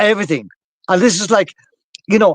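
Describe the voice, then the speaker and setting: Over a dry, close sound with no echo, a man with an Irish accent talks at a very fast pace in an animated tone. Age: 60s. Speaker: activist talk show host. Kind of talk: political discussion.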